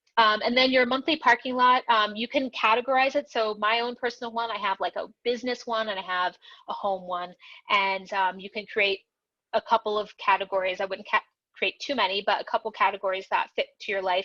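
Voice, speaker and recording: A woman's bright, sharp tone at a fairly high pitch, dry and close with no echo, over a quiet background. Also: ordinary pitch variation, fairly quick pace. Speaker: ADHD and productivity coach. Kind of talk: webinar presentation. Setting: video call webinar. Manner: fast; many filler words.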